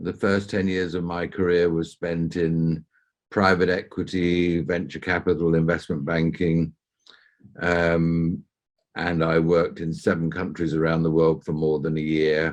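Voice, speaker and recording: A man with a southern English accent speaks at a fairly slow pace. His very deep, low pitch stays monotone and flat. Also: quiet background. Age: 60s. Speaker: entrepreneur and mentor. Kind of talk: interview. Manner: hesitant fillers.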